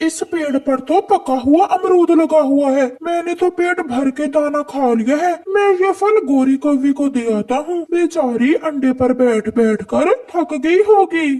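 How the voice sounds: This cartoonish character voice is pitched high. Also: moderate pace.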